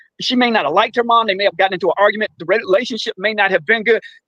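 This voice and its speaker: A man's raised, projected voice at an extremely high pitch, bright and sharp in tone, with a dry, close sound with no echo and a quiet background. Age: 60s. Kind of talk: casual chat. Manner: earnest, repetitive.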